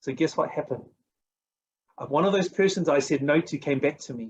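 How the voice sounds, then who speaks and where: Lively in intonation, a man with a New Zealand accent talks at a fairly high pitch. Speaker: network marketing coach. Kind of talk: motivational talk. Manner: animated.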